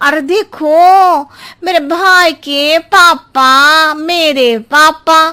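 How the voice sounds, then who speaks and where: A female-sounding cartoonish character voice sits at an extremely high pitch. It moves at a very slow pace. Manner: rambling, roundabout.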